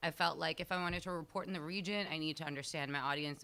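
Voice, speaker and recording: In an American accent, a woman speaks with a very deep, low pitch and a bright, sharp tone. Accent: sounds American. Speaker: journalist on a panel. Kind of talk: panel discussion.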